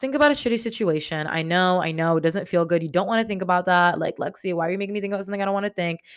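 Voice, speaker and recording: Her fairly low pitch and ordinary pitch variation come through on a very clean recording with a silent background, as a woman speaks. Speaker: self-help podcaster. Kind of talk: solo podcast monologue. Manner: casual, many fillers like 'um', 'like'.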